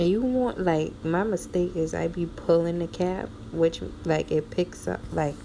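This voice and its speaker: Over noticeable background noise, a woman speaks fairly slowly at a fairly low pitch, her pitch varying in an ordinary way. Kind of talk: tutorial.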